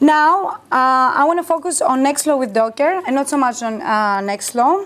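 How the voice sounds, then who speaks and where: Her voice high in pitch, a woman speaks with lively intonation. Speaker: bioinformatics engineer, conference speaker. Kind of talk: conference talk with Q&A. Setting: workshop stage with audience. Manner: fast; hesitant, many fillers.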